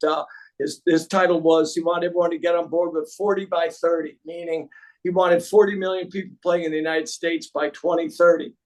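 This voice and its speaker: This man's pitch is high and his intonation monotone and flat. He talks at a fairly quick pace. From Connecticut. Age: 60s. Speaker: pickleball coach and tennis pro. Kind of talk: podcast interview.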